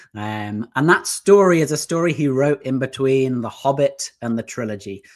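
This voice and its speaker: Speaking with an English accent, a man uses lively intonation at a medium pitch and a moderate pace. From southeast England, near London. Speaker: business founder. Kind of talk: interview.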